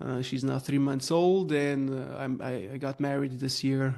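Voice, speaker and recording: Against a quiet background, a man with a Slovenian accent speaks at a moderate pace and medium pitch, his intonation fairly even. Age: 30s. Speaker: growth consultant. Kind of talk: podcast interview. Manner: halting, many fillers.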